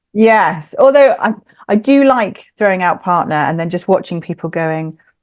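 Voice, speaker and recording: Speaking in an English accent at a moderate pace, a woman uses lively intonation at a medium pitch. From England. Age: 30s. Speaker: author. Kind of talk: casual interview chat. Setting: remote recording indoors at home.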